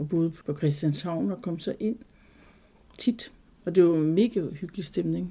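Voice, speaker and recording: A woman with a dark, mellow tone and vocal fry, at a fairly slow pace with long, frequent pauses, on a very clean recording with a silent background. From Jutland, Denmark. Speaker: Christiania resident. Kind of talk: interview, personal recollection.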